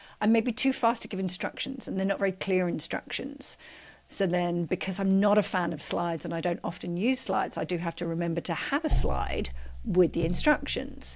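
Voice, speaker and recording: At a fairly quick pace, a woman talks with vocal fry and lively intonation. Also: medium pitch for a woman. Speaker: strengths coach, coaches' coach. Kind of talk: podcast interview, casual chat. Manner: fast-talking; animated.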